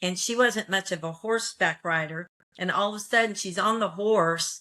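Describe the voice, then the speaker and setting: Speaking at a fairly slow pace with fairly even intonation, a woman with an American accent has a normal speaking voice at medium pitch. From Texas. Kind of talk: casual storytelling.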